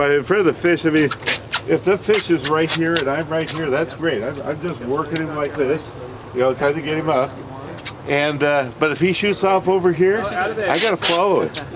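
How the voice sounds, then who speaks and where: A man speaks at a moderate pace with a fairly high pitch and ordinary pitch variation. Noticeable background noise is present. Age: 70s. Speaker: fishing charter captain. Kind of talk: safety briefing and instruction to clients. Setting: on a boat offshore.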